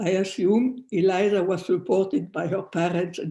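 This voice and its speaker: The speaker has a non-native accent and talks at a fairly slow pace. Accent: foreign. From France. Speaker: descendant of a persecuted family, eyewitness-era speaker. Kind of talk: prepared family history talk. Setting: video call.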